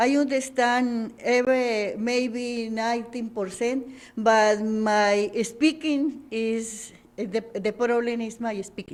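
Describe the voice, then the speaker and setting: Speaking at a very slow pace, a woman uses fairly even intonation at a fairly high pitch. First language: not English. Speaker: ESL student. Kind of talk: interview. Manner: halting.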